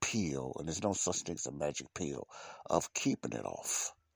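A man with vocal fry and very wide pitch swings at a moderate pace, in a very clean recording with a silent background and a dry, close sound with no echo. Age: 50s. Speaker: podcast host. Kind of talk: casual monologue. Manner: halting.

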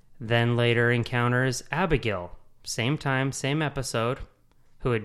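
Speaking with an American accent, a man keeps a moderate pace at a medium pitch. The recording is very clean, with a silent background. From Utah. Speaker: podcast host. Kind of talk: casual chat. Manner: halting.

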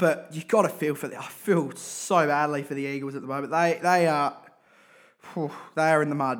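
In an Australian accent, a man with a fairly high pitch talks at a fairly quick pace, his loudness swinging widely. The recording is very clean, with a silent background. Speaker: podcast host and football supporter. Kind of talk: angry rant about football team, casual podcast monologue. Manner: animated, ranting, exasperated, over-the-top; repetitive, emphatic.

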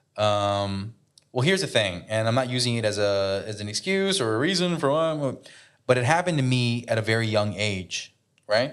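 A man speaks in a normal speaking voice at medium pitch and a moderate pace. The background is quiet. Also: lively intonation. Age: 30s. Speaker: podcast co-host. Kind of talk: casual chat. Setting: hotel room.

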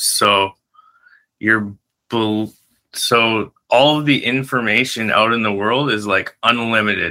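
Speaking very slowly with long, frequent pauses, a man with a Canadian accent has a medium pitch and fairly even intonation. His tone is bright and sharp. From northern Canada. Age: 30s. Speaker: hypnosis coach. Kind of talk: interview.

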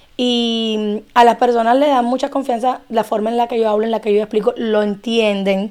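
A woman with a Cuban accent speaks at a moderate pace, her pitch fairly high. Her intonation is monotone and flat, with hardly any pauses. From Cuba, Havana. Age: 30s. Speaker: immigration and tax document preparer. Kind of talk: casual chat.

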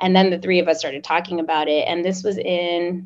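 With an American accent, a woman talks at a moderate pace in an ordinary speaking voice. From Oklahoma, US. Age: 30s. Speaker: startup founder. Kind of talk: podcast interview.

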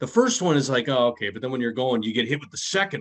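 With an American accent and a plain, everyday voice, a man talks at a fairly quick pace in a medium pitch, his intonation lively. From US Midwest. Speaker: podcast co-host, former radio host. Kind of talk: casual chat.

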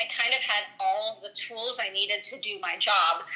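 A woman speaks at fairly high pitch with ordinary pitch variation over noticeable background noise. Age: 20s. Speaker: software engineer. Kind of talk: casual interview.

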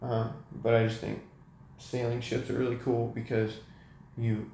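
In an American accent, a man speaks at a moderate pace with long, frequent pauses, his somewhat breathy voice dark and mellow in tone, his intonation monotone and flat, with audible room echo around him. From California, Sacramento. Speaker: university student. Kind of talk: casual chat.

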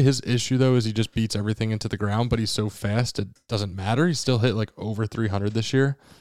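Talking at a very fast pace with hardly any pauses, a man uses a medium pitch and ordinary pitch variation. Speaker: podcast co-host, sports history. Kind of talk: casual chat, sports talk podcast.

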